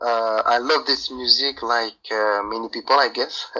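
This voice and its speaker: A man with a French accent talks at a fairly slow pace. His voice is medium-pitched, with a bright, sharp tone. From France. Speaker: rapper. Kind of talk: radio interview. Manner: halting.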